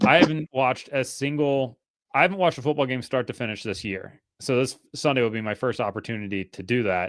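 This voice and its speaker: With an American accent, a man has an ordinary speaking voice at medium pitch, talking at a fairly quick pace with ordinary pitch variation on a very clean recording with a silent background. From northern US. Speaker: motorsport podcast host. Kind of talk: casual chat.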